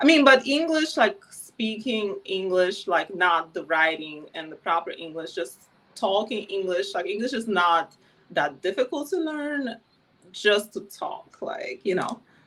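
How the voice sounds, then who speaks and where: A woman's voice sits at a medium pitch with very wide swings. She speaks at a fairly slow pace. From Ukraine, Kyiv. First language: Ukrainian or Russian. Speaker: former adult film performer. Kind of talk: interview.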